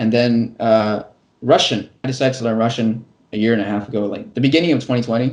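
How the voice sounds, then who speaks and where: Speaking at a very fast pace, a man with an American accent keeps a medium pitch and fairly even intonation. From California, US. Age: 20s. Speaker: construction worker and English teacher on YouTube. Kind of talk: casual interview. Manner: fast with frequent repetitions and restarts.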